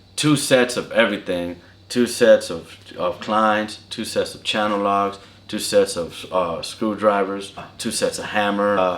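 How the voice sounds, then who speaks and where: Over noticeable background noise, a man with an American accent speaks at a fairly slow pace and fairly low pitch, his intonation fairly even but his loudness swinging widely. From California. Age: 30s. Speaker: apprentice lineman. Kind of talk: interview. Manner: casual.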